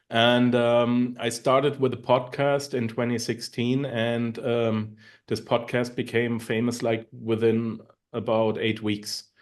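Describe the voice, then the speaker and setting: In a quiet background, a man with a German accent speaks at a medium pitch, at a very slow pace, and with a monotone, flat intonation. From Germany. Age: 40s. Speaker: online marketer and podcaster. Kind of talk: interview. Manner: halting.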